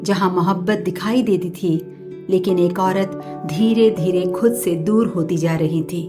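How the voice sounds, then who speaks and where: A woman talks in a calm tone while music plays in the background. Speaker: poet, storyteller, voiceover artist. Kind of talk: emotional story narration. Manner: calm, reflective.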